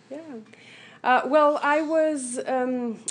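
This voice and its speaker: A woman talks at a fairly slow pace with a Lithuanian accent. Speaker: motivational speaker, accident survivor. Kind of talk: radio interview. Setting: radio studio. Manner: hesitant, many fillers.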